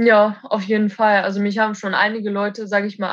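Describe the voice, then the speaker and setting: A woman speaks at a fairly high pitch. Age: 20s. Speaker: roofer. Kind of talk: casual interview. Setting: at home.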